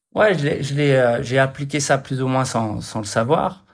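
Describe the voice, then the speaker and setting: His voice sits at a medium pitch and varies in an ordinary way. The man's speed is moderate. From France. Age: 30s. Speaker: martial artist and fitness model. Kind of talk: casual chat. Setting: video call.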